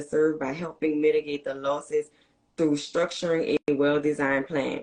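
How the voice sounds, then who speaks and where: With a very deep, low pitch and fairly even intonation, a woman talks at a fairly quick pace. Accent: New Orleans. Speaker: podcast host. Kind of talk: reading guest introduction; interview.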